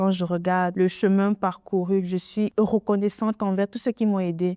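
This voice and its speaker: A woman speaks at a medium pitch in a dark, mellow tone with fairly even intonation. The sound is dry and close with no echo, on a very clean recording with a silent background. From Cameroon, Bamileke (Yemba-speaking). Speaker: entrepreneur, café owner. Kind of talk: interview testimony.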